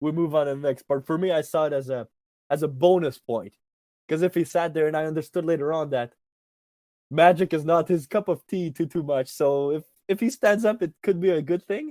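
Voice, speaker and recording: A man with a French accent has a fairly high pitch and a dark, mellow tone in a dry, close sound with no echo. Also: ordinary pitch variation, fairly quick pace. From Canadian Arctic, Inuit community. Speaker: magician. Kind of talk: interview. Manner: animated; halting.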